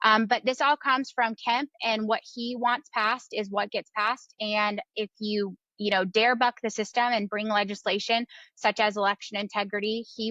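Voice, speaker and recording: Over a quiet background, a woman talks at a fairly quick pace. Her tone is bright and sharp, and her intonation fairly even. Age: 30s. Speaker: political activist. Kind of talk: interview.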